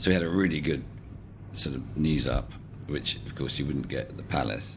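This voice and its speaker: Vocal fry runs through a man's lively intonation, and audible room echo surrounds his voice. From England and the Netherlands. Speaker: social entrepreneur, garden project founder. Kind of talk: interview. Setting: podcast. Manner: reflective, with hesitations.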